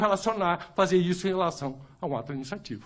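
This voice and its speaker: The speaker talks in an animated tone with a Curitiba accent. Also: man. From Brazil, Curitiba. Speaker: lawyer and jurist. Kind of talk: panel debate talk.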